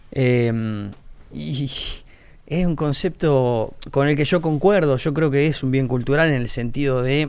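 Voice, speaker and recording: This man's fairly high pitch comes through at a very slow pace. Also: ordinary pitch variation. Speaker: agronomist. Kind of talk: casual panel discussion.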